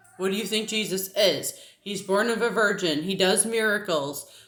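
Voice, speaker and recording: A woman with an American accent speaks at a medium pitch and a fairly slow pace. Audible room echo surrounds her voice. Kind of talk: casual vlog monologue. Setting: at home with a child on her lap. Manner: conversational, with many fillers.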